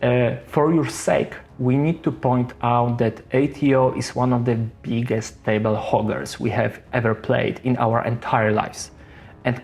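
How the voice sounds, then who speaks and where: With music playing behind him, a man speaks at a medium pitch and a moderate pace, with a strong non-native accent and fairly even intonation. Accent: heavy non-native English. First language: not English. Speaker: board game reviewer. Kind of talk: scripted review narration.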